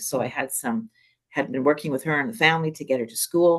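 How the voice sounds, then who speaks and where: Lively intonation carries a woman's fairly quick delivery. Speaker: school staff member presenting at a webinar. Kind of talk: presentation in an online speaker series. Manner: fast.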